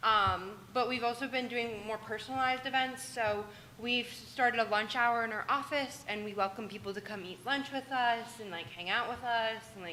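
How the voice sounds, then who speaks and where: The speaker keeps a moderate pace amid audible room echo. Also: woman. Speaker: student government leader. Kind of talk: meeting report. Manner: loud; animated.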